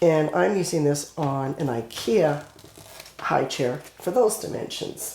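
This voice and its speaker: The pitch swings very widely. Noticeable background noise sits behind the voice. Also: woman. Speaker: crafting tutorial creator. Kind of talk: tutorial.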